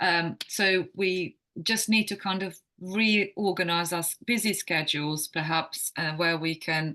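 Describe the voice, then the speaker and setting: Speaking at a fairly slow pace with a Croatian accent, the woman has a fairly low pitch, a bright, sharp tone and fairly even intonation against a quiet background. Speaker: wellness coach. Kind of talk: podcast interview. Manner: halting.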